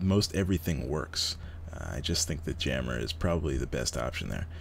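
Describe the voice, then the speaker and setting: A man's quiet whisper with vocal fry. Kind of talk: gaming tutorial commentary; casual talk to camera. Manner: whispering, quiet.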